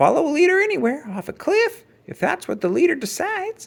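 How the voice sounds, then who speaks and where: A put-on character voice sounds squeaky and high-pitched. It moves at a fairly quick pace. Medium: read story. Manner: folksy, plainspoken.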